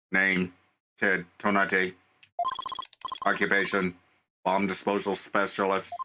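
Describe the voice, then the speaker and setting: Putting on a robotic character voice, a man speaks very deep and low in a monotone, flat intonation at a fairly slow pace with long, frequent pauses. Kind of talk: formal, official.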